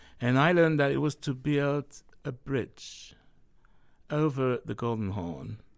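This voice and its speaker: A man with a French accent at medium pitch, fairly slow and broken by long, frequent pauses, in a very clean recording with a silent background. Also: ordinary pitch variation. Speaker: novelist. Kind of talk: interview. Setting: studio.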